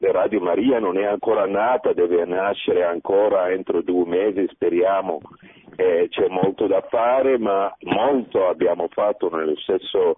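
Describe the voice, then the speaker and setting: A man speaks at a fairly slow pace. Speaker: radio station director. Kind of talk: radio interview.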